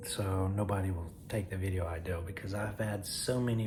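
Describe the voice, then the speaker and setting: Quiet and very deep, a man's low voice comes through noticeable background noise and audible room echo. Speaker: comedy skit youtuber. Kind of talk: casual vlog talk to camera. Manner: quiet, holding voice down; halting, many fillers.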